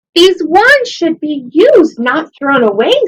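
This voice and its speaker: A woman's put-on character voice, extremely high in pitch, with very wide pitch swings at a fairly slow pace. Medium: read story.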